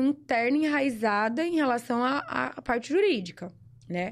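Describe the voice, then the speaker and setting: Recorded very cleanly against a silent background, a woman speaks at a moderate pace in a high pitch with very wide pitch swings. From Brazil, São Paulo interior (Sertãozinho). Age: 20s. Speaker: lawyer and shooting instructor. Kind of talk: casual chat.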